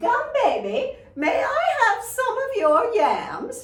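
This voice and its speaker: Putting on a character voice, a woman talks very slowly at an extremely high pitch, with a slight echo. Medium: read story.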